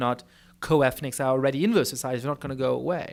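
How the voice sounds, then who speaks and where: Speaking at a very fast pace, this voice has a German accent. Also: man. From Germany. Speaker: political scientist. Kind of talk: lecture Q&A answer. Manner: many fillers and repetitions.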